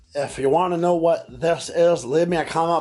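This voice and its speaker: Noticeable background noise behind a man speaking at a fairly high pitch. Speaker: fishing vlogger. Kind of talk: casual vlog talk to camera. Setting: in his workshop. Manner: slow, careful speech; halting, stumbles over words.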